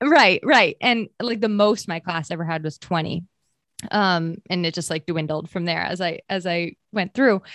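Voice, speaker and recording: A woman with an unremarkable speaking voice and an American accent speaks at a fairly low pitch and a moderate pace with ordinary pitch variation, in a dry, close sound with no echo against a quiet background. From Maine and New Hampshire, US New England. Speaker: marketer and former store owner. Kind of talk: casual interview chat.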